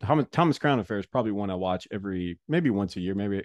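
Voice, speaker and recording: A man with an ordinary speaking voice talks at a fairly quick pace, his pitch fairly low. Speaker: podcast host, former baseball player and broadcaster. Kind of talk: casual chat. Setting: home recording.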